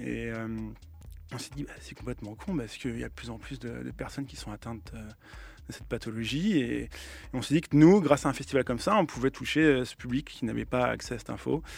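At a fairly quick pace, a man speaks with big swings in loudness on a very clean recording with a silent background. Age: 30s. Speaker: DJ and music producer. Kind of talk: radio interview. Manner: hesitant, many fillers.

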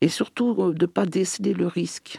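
Speaking at a moderate pace, a man uses a dark, mellow tone with vocal fry and very wide pitch swings. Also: dry, close sound with no echo. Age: 60s. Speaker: LGBT association president. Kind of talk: radio interview.

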